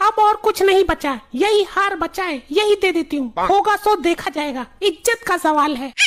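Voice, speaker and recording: A woman uses a cartoonish character voice at an extremely high pitch, with lively intonation and a moderate pace. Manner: emphatic, dramatic.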